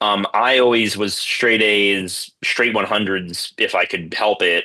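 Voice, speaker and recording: A man with an American accent has a fairly low pitch and a bright, sharp tone. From US, South Florida. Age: 30s. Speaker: entrepreneur. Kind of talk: interview. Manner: hesitant, many fillers.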